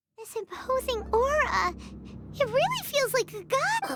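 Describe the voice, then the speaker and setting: A squeaky, extremely high-pitched put-on character voice speaks at a moderate pace. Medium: video game. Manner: excitable.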